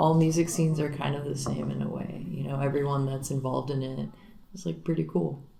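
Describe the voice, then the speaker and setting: A woman talks at a moderate pace. Audible room echo and noticeable background noise fill the recording. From Miami, Florida. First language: Spanish. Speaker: singer and guitarist in a garage rock band. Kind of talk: casual interview.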